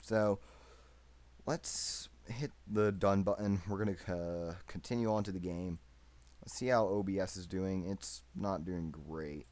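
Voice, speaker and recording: A man speaks with a very deep, low pitch and ordinary pitch variation. His pace is fairly slow. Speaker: gaming YouTuber. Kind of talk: gameplay commentary. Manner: loud.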